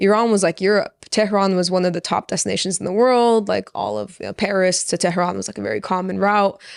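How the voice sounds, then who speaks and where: In a Californian accent, a woman talks very fast at a medium pitch with fairly even intonation and hardly any pauses, in a dry, close sound with no echo on a very clean recording with a silent background. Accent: Californian American. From Orange County, California, Persian-American family. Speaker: podcast guest, chef. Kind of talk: casual chat.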